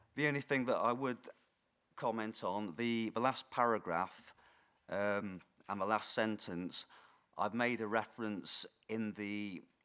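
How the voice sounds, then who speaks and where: Fairly low in pitch yet bright and sharp in tone, a man talks at a fairly slow pace with fairly even intonation and long, frequent pauses. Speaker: council planning officer. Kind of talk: formal committee presentation. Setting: council committee meeting. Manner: hesitant, many fillers.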